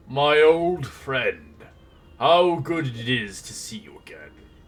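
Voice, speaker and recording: A man speaks in a put-on character voice. His pitch is fairly high, and his pace is fairly slow. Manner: warm, greeting an old friend.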